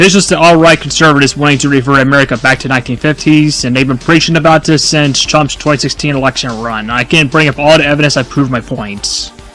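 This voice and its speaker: A man with a fairly high pitch talks at a very fast pace with hardly any pauses and fairly even intonation over noticeable background noise. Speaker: political commentary vlogger. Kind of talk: casual political commentary monologue. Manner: stuttering, repeats himself.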